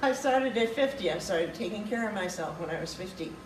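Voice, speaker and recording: With noticeable background noise present, the speaking pace stays moderate. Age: 80s+. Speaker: product user giving testimonial. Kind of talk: testimony. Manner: halting.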